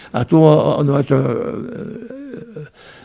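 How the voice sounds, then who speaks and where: A man talks at a fairly high pitch. Noticeable background noise sits behind his voice. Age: 80s+. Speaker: retired miner. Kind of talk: oral history interview. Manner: halting, many repetitions.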